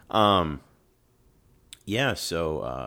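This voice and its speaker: A man with an American accent speaks in a very deep, low pitch with lively intonation. Vocal fry runs through his voice. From US Midwest (Dayton, Ohio). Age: 30s. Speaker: stand-up comedian. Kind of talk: casual chat.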